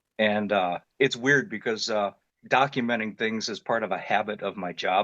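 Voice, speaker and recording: A man with an Ohio accent speaks fairly quickly in a fairly low voice. The sound is dry and close with no echo, over a quiet background. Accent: Midwestern American (Ohio). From Northeast Ohio (Independence, near Cleveland). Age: 50s. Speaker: construction worker and military veteran, witness. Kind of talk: testimony. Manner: casual, with many fillers.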